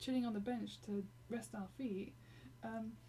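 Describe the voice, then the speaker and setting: Speaking at a fairly slow pace, a woman talks in an English accent. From Britain. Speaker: gaming live streamer. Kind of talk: casual live stream chat. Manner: halting, many fillers.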